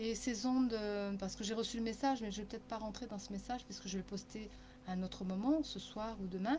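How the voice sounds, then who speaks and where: Noticeable background noise runs under the recording. A woman speaks over it at a very fast pace. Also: medium pitch for a woman, fairly even intonation. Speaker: channeling medium and therapist. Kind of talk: live-stream spiritual guidance talk. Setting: Facebook live stream.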